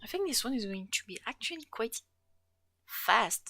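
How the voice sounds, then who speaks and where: The voice has a bright, sharp tone and lively intonation at a moderate pace. The sound is dry and close with no echo. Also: woman. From France, regional (not Paris). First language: French. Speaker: streamer and fan artist. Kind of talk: casual live-stream chat while drawing. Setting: live stream.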